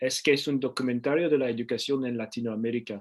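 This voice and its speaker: Medium pitch from a man with a non-native accent. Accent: foreign learner's accent in Spanish. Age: 30s. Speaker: Spanish learner, channel owner. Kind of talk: conversational debate. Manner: halting, many fillers.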